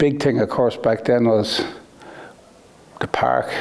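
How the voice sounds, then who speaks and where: Over noticeable background noise, the speaker talks at a moderate pace with an Irish accent. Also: man. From Ireland, Naas, County Kildare. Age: 60s. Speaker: racing car manufacturer. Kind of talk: interview. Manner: halting.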